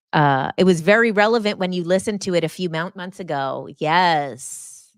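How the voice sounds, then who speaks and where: Captured on a very clean recording with a silent background, a woman speaks in an animated tone with a fairly low pitch and ordinary pitch variation. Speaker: hypnotist and spiritual coach. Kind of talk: live stream chat reading comments. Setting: live stream. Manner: fast.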